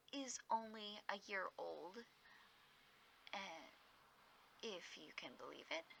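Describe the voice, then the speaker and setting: A woman speaks softly. Her tone is relaxed. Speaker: hobby gardener. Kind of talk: casual soft-spoken ramble to camera. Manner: soft-spoken, relaxed.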